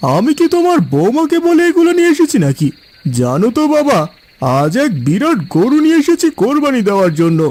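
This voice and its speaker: Using a cartoonish character voice at an extremely high pitch for a man, a man talks at a moderate pace. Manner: warm, calm.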